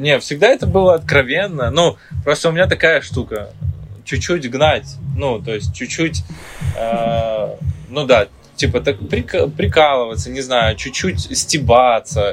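Very slow speech with very wide pitch swings over music in the background. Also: man, medium pitch for a man. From Ukraine, Kyiv. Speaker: dancer and choreographer. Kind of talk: interview.

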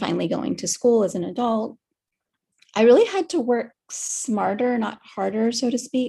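A woman with an American accent, dark and mellow in tone, vocal fry, ordinary pitch variation and a moderate pace. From US, Miami. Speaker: artist. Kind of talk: interview. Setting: video call.

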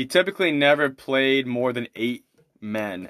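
A man at medium pitch, with lively intonation and a moderate pace. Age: 30s. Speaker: podcast host reviewing documentaries. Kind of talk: solo podcast commentary. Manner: halting, many fillers and restarts.

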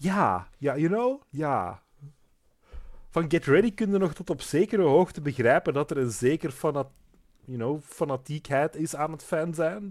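This man has an unremarkable speaking voice, fairly high in pitch. His intonation is lively and his pace fairly slow. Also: very clean recording, silent background. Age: 20s. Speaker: podcast co-host recapping a TV series. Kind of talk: casual chat.

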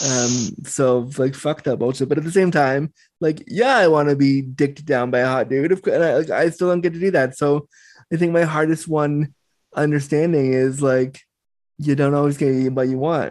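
Over a quiet background, a man with a normal speaking voice talks at a moderate pace, his fairly high pitch held in fairly even intonation. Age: 30s. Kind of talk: casual interview.

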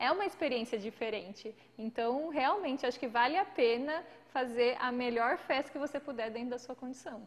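There is noticeable background noise as a woman speaks at a high pitch. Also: ordinary pitch variation, moderate pace. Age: 30s. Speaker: podcast co-host. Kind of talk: casual chat. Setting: live stream.

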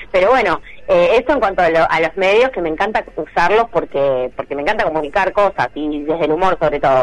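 A woman has a normal speaking voice with a fairly low pitch. She talks at a fairly quick pace with lively intonation and hardly any pauses. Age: 40s. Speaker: comedian. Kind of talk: casual chat.

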